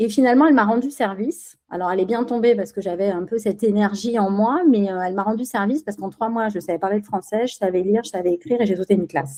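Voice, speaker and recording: Speaking at a very fast pace, a woman has a dark, mellow tone at medium pitch with ordinary pitch variation. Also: hardly any pauses. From Spain, raised in France from age 6. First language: Spanish (speaking French). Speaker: business executive. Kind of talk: podcast interview. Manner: hesitant, many fillers.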